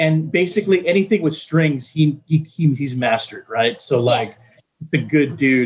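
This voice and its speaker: In an American accent, a man talks at a moderate pace with a fairly high, somewhat breathy voice and lively intonation. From Texas. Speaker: radio DJ. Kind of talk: casual interview.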